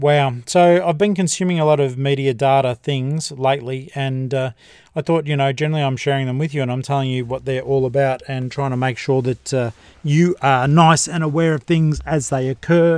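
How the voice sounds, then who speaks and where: Here a man with an Australian accent talks at a fairly quick pace. His fairly high voice keeps fairly even intonation on a very clean recording with a silent background. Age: 50s. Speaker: podcast host and book reviewer. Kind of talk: casual solo review monologue.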